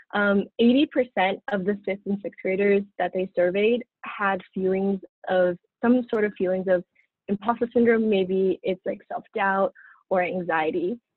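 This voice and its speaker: In an American accent, a woman speaks at a fairly slow pace with fairly even intonation, in a dry sound with no echo and a quiet background. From Southern California, Pasadena; Southern California. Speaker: dental student; presenter. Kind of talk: student lecture presentation. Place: home room. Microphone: webcam.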